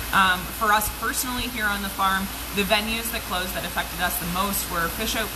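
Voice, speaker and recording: A woman speaks fairly quickly at a medium pitch with fairly even intonation. Noticeable background noise can be heard. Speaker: trout farmer. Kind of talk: casual live video tour. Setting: outdoors on a farm.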